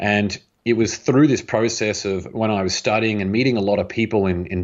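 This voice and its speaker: With an Australian accent, a man of fairly low pitch talks at a very fast pace with ordinary pitch variation. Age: 30s. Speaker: author and entrepreneur. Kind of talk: interview conversation.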